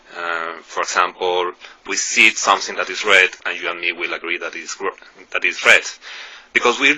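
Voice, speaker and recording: Speaking with a non-native accent, a man keeps a moderate pace. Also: long, frequent pauses, big swings in loudness. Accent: non-native English speaker. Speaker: YouTuber discussing philosophy. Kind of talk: video monologue. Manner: halting, many fillers.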